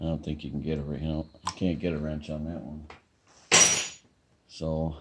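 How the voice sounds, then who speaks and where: Mumbling at a moderate pace, a man speaks in a very deep, low pitch with monotone, flat intonation. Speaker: small engine repairer. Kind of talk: casual talk to camera.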